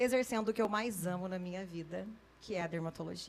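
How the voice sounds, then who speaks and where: A woman in an interior São Paulo accent, medium pitch and ordinary pitch variation. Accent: interior São Paulo accent, noticeable. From interior of São Paulo state, Brazil (Guaratinguetá). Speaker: dermatologist. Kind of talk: podcast interview.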